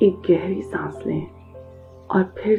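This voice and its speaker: Music plays in the background while the voice keeps a calm tone. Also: woman. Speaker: meditation guide. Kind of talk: guided meditation. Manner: slow, calm.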